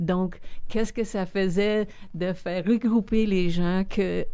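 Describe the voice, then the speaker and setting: Very slowly, a woman talks in a dark, mellow tone. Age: 60s. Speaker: community leader and philanthropist. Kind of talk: interview conversation.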